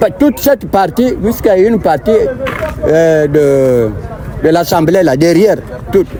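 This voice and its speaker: A man at a very slow pace, with noticeable background noise. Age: 70s. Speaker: retired customs officer, eviction-affected resident. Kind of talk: street interview. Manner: halting, many repetitions.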